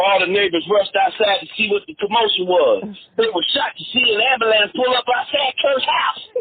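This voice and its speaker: An extremely high-pitched man's voice, fairly quick and with hardly any pauses, lively intonation, and noticeable background noise. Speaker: narrator of true online stories. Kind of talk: comedic audiobook-style story narration. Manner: animated, theatrical, reacting with exclamations.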